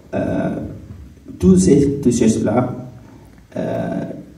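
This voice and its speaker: A man with a non-native accent speaks at a very slow pace, with noticeable background noise and audible room echo. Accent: non-native French, struggles with R sounds. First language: not French; speaks English, another mother tongue (speaking French). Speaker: refugee/newcomer giving testimony. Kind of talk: testimony talk on stage. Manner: halting, many hesitations.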